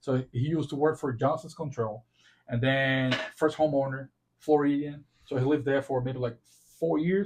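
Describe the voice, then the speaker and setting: A somewhat breathy voice with a Portuguese accent at a fairly quick pace. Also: man. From Brazil. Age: 40s. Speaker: podcast host and realtor. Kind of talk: casual chat.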